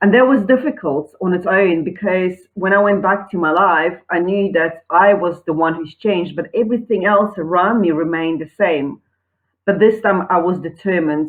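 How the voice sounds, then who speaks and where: A woman with a South African accent speaks at a medium pitch, her pitch moving up and down in an ordinary way. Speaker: online entrepreneur. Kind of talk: personal testimony pitch.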